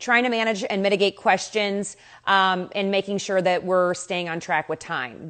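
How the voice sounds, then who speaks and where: In a quiet background, a woman talks at a moderate pace. Her medium pitch shows ordinary pitch variation. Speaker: live interview host. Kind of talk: casual livestream chat. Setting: Instagram live stream. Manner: loud. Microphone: new mic, too loud at first.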